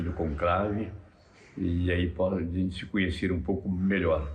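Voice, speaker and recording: A man's very deep, low, somewhat breathy voice with monotone, flat intonation at a fairly slow pace, with audible room echo. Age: 80s+. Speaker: cardinal. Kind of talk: interview. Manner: halting, many fillers.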